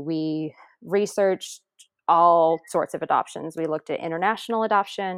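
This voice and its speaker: A woman with an American accent and an ordinary speaking voice, fairly low in pitch, fairly quick in pace, fairly even in intonation, recorded with a dry, close sound with no echo against a quiet background. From upstate New York. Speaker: teacher and adoptive mother. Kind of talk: interview testimony.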